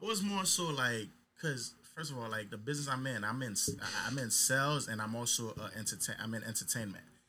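A man speaks with a normal speaking voice at medium pitch. His intonation is lively and his pace fairly quick. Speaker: nightlife promoter. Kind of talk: casual chat.

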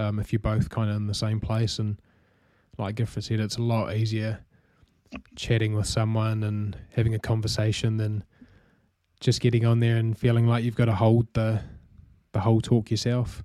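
The recording is very clean, with a silent background, as a man with a New Zealand accent talks at a moderate pace with long, frequent pauses. His medium-pitched voice has a dark, mellow tone and a monotone, flat intonation. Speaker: podcast host, marketing manager. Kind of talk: casual chat.

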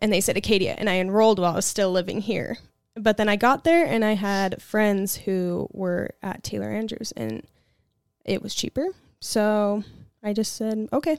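Music plays in the background as a woman of medium pitch speaks at a moderate pace with ordinary pitch variation. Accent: American. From Arizona. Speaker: esthetician. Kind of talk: casual chat.

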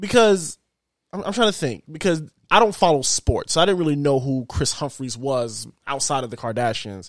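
Very clean recording, silent background: a fairly high-pitched man at a moderate pace with very wide pitch swings. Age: 20s. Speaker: podcast host and gamer. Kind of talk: casual chat.

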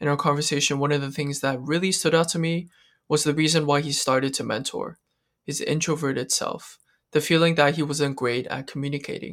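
A plain, everyday voice from a man at a fairly high pitch and fairly quick pace, in a very clean recording with a silent background. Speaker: podcast host. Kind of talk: interview with scripted intro.

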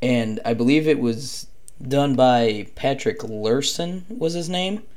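With audible room echo, a man of medium pitch speaks at a very slow pace. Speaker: podcast host. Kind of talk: casual monologue about lacrosse. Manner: hesitant, many fillers.

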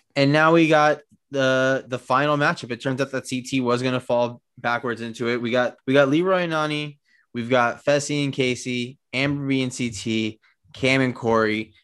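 In a very clean recording with a silent background, a man speaks at a medium pitch and a moderate pace. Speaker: podcast co-host. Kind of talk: casual chat. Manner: mumbly.

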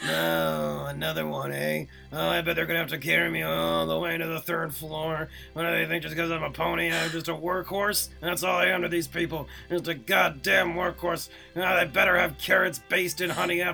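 Over clear background noise, a man does a raspy put-on character voice with a grumpy tone at a fairly quick pace. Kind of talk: crude. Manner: grumpy, complaining.

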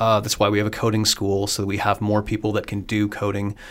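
Against a silent background in a very clean recording, a man talks with a Midwestern US accent. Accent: US Midwest. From Iowa. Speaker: communications director and author. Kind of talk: casual interview. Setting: in person, guest's city.

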